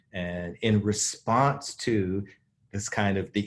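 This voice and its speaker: With an American accent, a man speaks at a fairly low pitch with ordinary pitch variation. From US South. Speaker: divinity school dean and social ethicist. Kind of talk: conversational interview. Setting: virtual video conversation. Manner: animated.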